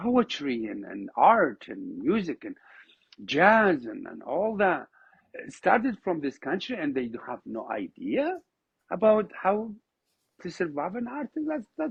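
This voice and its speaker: With an Iraqi accent, a high-pitched man speaks at a very slow pace, his pitch swinging very widely and his loudness rising and falling in big swings. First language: Arabic. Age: 50s. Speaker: oud musician. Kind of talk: podcast interview. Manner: animated, repetitive false starts.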